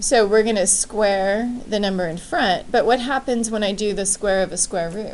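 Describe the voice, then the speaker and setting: A woman speaks at a moderate pace and medium pitch. Room echo is audible. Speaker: high school math teacher. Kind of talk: classroom lecture. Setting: classroom with students.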